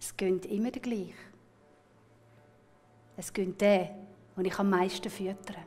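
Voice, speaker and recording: Speaking with a Swiss accent, the voice keeps a fairly slow pace and a monotone, flat intonation, with big swings in loudness and long, frequent pauses. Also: woman, medium pitch for a woman. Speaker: storyteller. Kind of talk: storytelling performance. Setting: live festival with music accompaniment.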